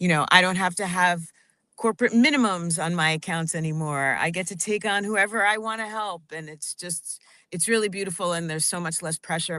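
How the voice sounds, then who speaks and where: In an unremarkable speaking voice, a woman talks at a fairly quick pace with fairly low pitch, ordinary pitch variation, and big swings in loudness over a quiet background. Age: 50s. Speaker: financial advisor. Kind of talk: radio interview.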